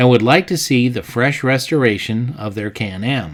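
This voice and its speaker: An ordinary speaking voice from a man, medium in pitch and moderate in pace. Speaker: channel host narrator. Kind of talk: documentary voice-over narration.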